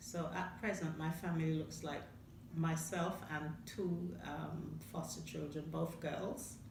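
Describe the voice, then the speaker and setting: A woman's very deep, low voice at a fairly slow pace, with noticeable background noise. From Caribbean. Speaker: foster carer. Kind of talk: interview answer.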